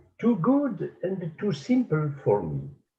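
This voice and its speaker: A man in a French accent with very wide pitch swings, audible room echo around him. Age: 80s+. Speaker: painter and art teacher. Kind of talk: conference talk. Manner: halting.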